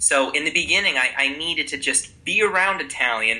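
With an American accent, the speaker goes fairly quickly while noticeable noise fills the background. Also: man. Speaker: Italian teacher and YouTuber. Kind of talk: casual interview.

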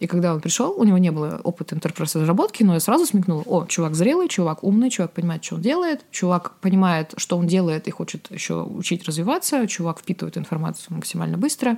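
A woman's very fast, dark, mellow voice at a fairly low pitch, with ordinary pitch variation and hardly any pauses. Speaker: writer and sommelier, former software developer. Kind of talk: solo podcast monologue. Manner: reflective, digressive.

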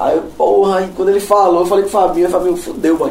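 Over noticeable background noise and audible room echo, a man speaks in a high voice with ordinary pitch variation. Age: 30s. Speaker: metal drummer. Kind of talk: casual chat.

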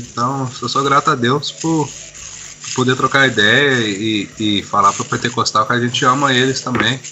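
Over noticeable background noise, a man with a medium pitch speaks with lively intonation. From Brazil and Boston, US. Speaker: church member, translator. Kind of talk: casual chat.

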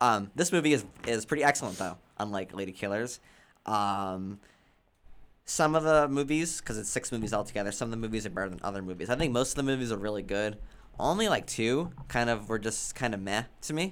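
This man has an unremarkable speaking voice at a medium pitch and a fairly quick pace. The recording is very clean, with a silent background. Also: lively intonation. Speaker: podcast host. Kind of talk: casual banter. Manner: loud, jokey.

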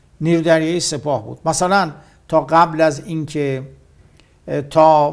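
A man talks with a fairly high pitch. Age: 60s. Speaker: war veteran. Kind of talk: interview.

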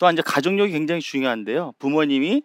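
Speech comes at a very fast pace in a very clean recording, silent in the background, with a dry, close sound and no echo. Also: man. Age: 60s. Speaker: endocrinology professor and physician. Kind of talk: public talk on stage. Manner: frequent filler pauses.

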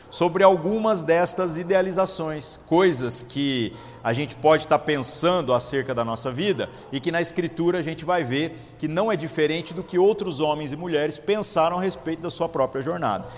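A man's fairly high voice at a moderate pace, with ordinary pitch variation and noticeable background noise. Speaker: pastor. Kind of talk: sermon. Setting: church.

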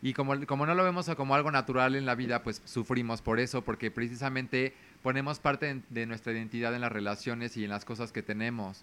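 A man with a medium pitch talks at a fairly quick pace with hardly any pauses. His tone is bright and sharp, and his intonation fairly even. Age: 30s. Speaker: consultant and communicator. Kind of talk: casual chat.

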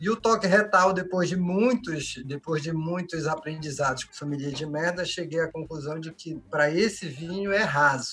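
A man's high-pitched voice with ordinary pitch variation, big swings in loudness and hardly any pauses, over noticeable background noise. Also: moderate pace. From Belém, Pará, northern Brazil. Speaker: labour judge, wine enthusiast. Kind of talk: casual chat.

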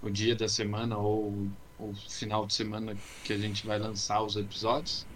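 This man speaks at a moderate pace in a fairly low, somewhat breathy voice. His intonation stays monotone and flat, with audible room echo around him. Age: 20s. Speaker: podcast co-host. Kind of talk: casual chat. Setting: closed room at home, video call.

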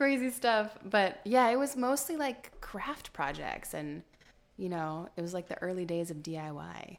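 With an American accent, a woman speaks at a fairly slow pace and medium pitch. Her pitch swings very widely and her loudness rises and falls in big swings. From Central California, Modesto. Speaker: lifestyle blogger. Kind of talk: casual interview. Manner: hesitant fillers.

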